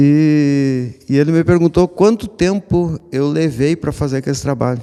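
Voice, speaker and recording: Talking fairly slowly, a man has a fairly high pitch. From southern Brazil, Rio Grande do Sul (Missões region). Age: 60s. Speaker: artist, sculptor. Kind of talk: radio interview. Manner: halting, many restarts.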